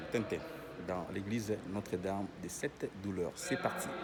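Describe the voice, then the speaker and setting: Someone soft-spoken talks with fairly even intonation amid noticeable background noise and audible room echo. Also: man. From Africa. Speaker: vlogger. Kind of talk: casual guided tour vlog. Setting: inside a church during mass. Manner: hesitant, many fillers.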